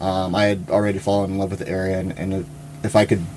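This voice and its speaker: A man's fairly low-pitched voice over noticeable background noise. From Louisiana. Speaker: wildlife biologist, nonprofit president. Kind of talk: interview. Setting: studio.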